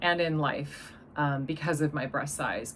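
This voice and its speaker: A woman speaks with an American accent in a very deep, low pitch. Her voice is somewhat breathy. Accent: American, slightly shifting. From California. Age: 40s. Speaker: vlogger. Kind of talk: personal video diary. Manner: halting, many fillers.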